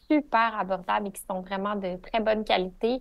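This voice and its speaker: Her pitch medium, a woman talks at a moderate pace with fairly even intonation. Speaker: pelvic physiotherapist. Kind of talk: podcast interview.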